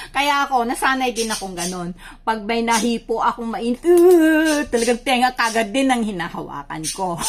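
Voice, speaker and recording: A woman speaks at a moderate pace with a fairly high pitch and lively intonation. She hardly pauses, and noticeable background noise runs underneath. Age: 60s. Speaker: vlogger. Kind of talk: cooking tutorial. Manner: halting.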